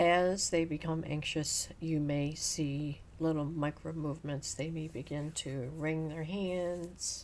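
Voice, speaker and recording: In a room with audible echo, a woman talks at a very slow pace with hardly any pauses, her very deep, low pitch held in a monotone, flat intonation. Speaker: nursing educator. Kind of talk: lecture. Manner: even, calm.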